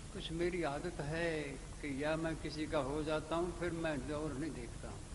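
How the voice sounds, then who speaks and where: Amid noticeable background noise and audible room echo, a man talks at a fairly high pitch in a monotone, flat delivery. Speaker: spiritual teacher. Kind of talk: sermon.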